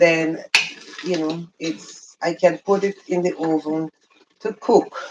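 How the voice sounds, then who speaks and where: Speaking with a Jamaican accent, a woman uses a fairly low pitch with ordinary pitch variation. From rural Jamaica. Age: 60s. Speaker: beauty and lifestyle vlogger. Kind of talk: casual livestream chat while cooking. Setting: home kitchen livestream.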